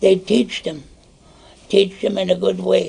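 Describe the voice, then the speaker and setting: The man talks fairly slowly while noticeable background noise fills the recording. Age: 60s. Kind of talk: teaching talk in a sharing circle. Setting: indoor gathering with small audience.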